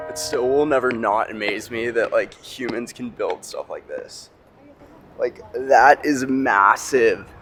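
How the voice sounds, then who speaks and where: The speech comes at a fairly slow pace with big swings in loudness and noticeable background noise. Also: man. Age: 20s. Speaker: travel vlogger. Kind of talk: travel vlog narration. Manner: casual.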